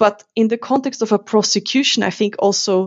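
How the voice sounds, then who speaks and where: A woman speaks with a German accent at a moderate pace. Her intonation stays fairly even. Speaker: university lecturer. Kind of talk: interview.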